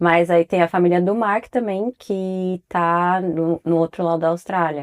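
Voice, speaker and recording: In a dry, close recording with no echo, a woman with a normal speaking voice and a fairly low pitch talks at a fairly slow pace with very even loudness. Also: fairly even intonation. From São Paulo, Brazil. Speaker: podcast co-host, mother. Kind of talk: casual chat.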